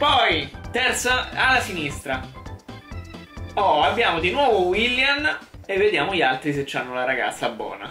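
Music plays in the background as a man speaks. The room echo is audible. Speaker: gaming youtuber. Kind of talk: casual gaming commentary. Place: home room.

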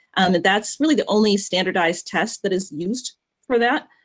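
In a quiet background, a woman talks with ordinary pitch variation. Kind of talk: explanatory talk. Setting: video call. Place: home room. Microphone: video call.

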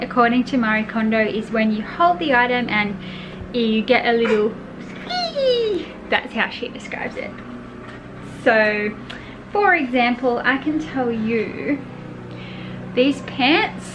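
With long, frequent pauses, a woman speaks at a high pitch with ordinary pitch variation over noticeable background noise. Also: fairly slow pace. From Australia. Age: 30s. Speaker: mum vlogger. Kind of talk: casual talk to camera. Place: home room. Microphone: phone near.

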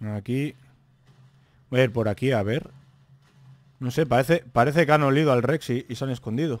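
At a fairly quick pace broken by long, frequent pauses, a man talks in a medium pitch with ordinary pitch variation, the sound dry with no echo. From Spain. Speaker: gaming youtuber. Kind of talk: gameplay commentary. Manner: animated. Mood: relaxed, joking. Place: home room. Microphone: studio mic.

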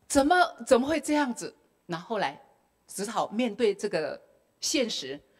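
With a Taiwanese accent, a woman talks at a moderate pace in very wide pitch swings. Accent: Taiwanese Mandarin. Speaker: retired school principal; speaker. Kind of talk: testimony. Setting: temple hall with audience. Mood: emotional recollection of hardships. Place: hall. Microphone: handheld.

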